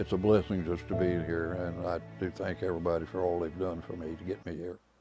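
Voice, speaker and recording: Here a man talks at a fairly quick pace. His pitch is very deep and low, with music in the background. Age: 80s+. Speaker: war veteran. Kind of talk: interview answer.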